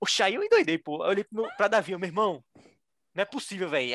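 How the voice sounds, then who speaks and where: Talking at a very fast pace in a Pernambuco accent, a man sounds animated, with a high pitch for a man. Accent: Pernambuco Brazilian Portuguese. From Brazil, Recife (Pernambuco). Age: 20s. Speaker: engineering graduate admitted to Harvard. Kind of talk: interview storytelling.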